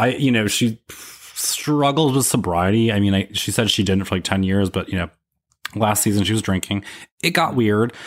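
A plain, everyday voice of a man with an American accent, fairly low in pitch, at a moderate pace with ordinary pitch variation. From upstate New York. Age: 30s. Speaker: podcaster. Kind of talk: casual chat.

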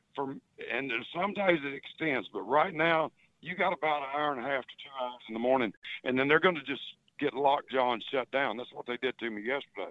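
A man talks at a fairly quick pace in a Southern US accent. His pitch is fairly high, with ordinary variation. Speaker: fishing guide. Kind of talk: casual radio chat. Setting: phone call. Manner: rambling.

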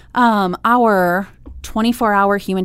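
With an American accent, a woman speaks in fairly even intonation. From Iowa, Des Moines. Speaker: nonprofit co-founder. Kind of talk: interview.

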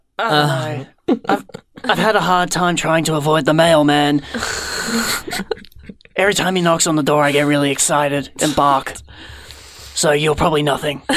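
A man puts on a character voice that is raspy, gravelly and fairly high-pitched, moving at a moderate pace with long, frequent pauses. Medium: actual play. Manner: gruff, blunt, deadpan.

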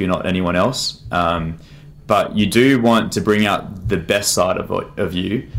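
A man talks at a fairly slow pace in a fairly low pitch with fairly even intonation. Noticeable background noise runs underneath. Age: 20s. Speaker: former boxer and mentor. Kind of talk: casual chat.

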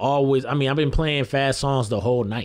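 A mid-pitched man with an American accent, music in the background. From Lansing, Michigan (South Side). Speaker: DJ. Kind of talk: radio interview.

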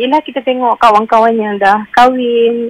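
A woman talks in an unremarkable speaking voice with a fairly high pitch and fairly even intonation. The sound is dry and close, with no echo. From Johor, Malaysia. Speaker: radio caller. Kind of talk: emotional confession on call-in show.

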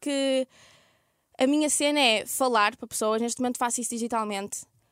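On a very clean recording with a silent background and a dry, close sound with no echo, a woman speaks at a high pitch with ordinary pitch variation. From northern Portugal, Ermesinde near Porto. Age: 20s. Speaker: youtuber. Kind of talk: casual chat.

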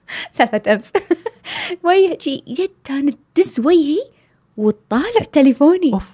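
With a dark, mellow tone and a dry, close sound with no echo, a woman speaks high and slowly enough to count as fairly slow, making very wide pitch swings and taking long, frequent pauses. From Kuwait. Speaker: travel blogger. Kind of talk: casual chat.

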